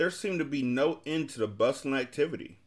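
A man's voice with vocal fry comes through in a very clean recording with a silent background. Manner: animated, projecting loudly in a showman's hawking cry; switches into character voices, pompous and gruff.

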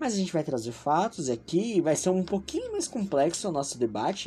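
A man's voice with very wide pitch swings, at a fairly quick pace. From Brazil, São Paulo. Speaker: podcast host. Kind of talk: casual political commentary. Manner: animated.

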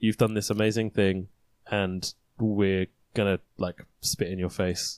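A man speaks fairly slowly in a fairly low, monotone, flat voice, with a dry, close sound and no echo. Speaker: podcast co-host. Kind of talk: casual chat.

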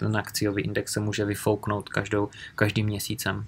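A man at a fairly low pitch, talking at a moderate pace. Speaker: real estate investment YouTuber. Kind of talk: live Q&A stream. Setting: livestream from home in a village.

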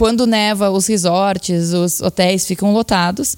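Music in the background behind a woman with a Brazilian accent, medium pitch, and fairly even intonation. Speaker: journalist and university lecturer. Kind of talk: interview.

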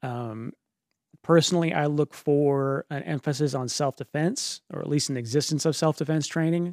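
A man's fairly high, plain, everyday voice at a moderate pace with fairly even intonation, dry and close with no echo, on a very clean recording with a silent background. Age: 40s. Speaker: podcast co-host, jiu-jitsu practitioner. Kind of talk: casual podcast conversation.

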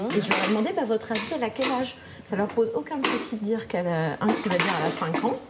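Over noticeable background noise, a woman with a fairly high pitch talks at a very fast pace with lively intonation. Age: 30s. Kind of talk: casual interview. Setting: library.

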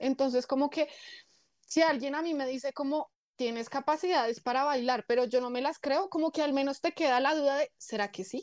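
A woman's high voice at a fairly quick pace with ordinary pitch variation, dry and close with no echo, in a very clean recording with a silent background. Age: 20s. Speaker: influencer and fitness coach. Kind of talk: interview.

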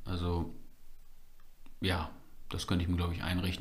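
A man with a very deep, low, somewhat breathy voice talks at a fairly quick pace in a monotone, flat intonation. Audible room echo surrounds him. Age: 20s. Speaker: church member and media volunteer. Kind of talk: casual interview.

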